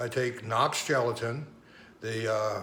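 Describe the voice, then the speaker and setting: Audible room echo surrounds a man as he speaks. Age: 60s. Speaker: health and supplement vlogger. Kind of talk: tutorial. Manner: halting.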